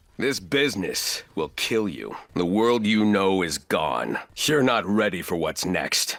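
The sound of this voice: A man puts on a character voice with a low pitch and a fairly bright tone. He speaks at a fairly slow pace, with big pitch swings.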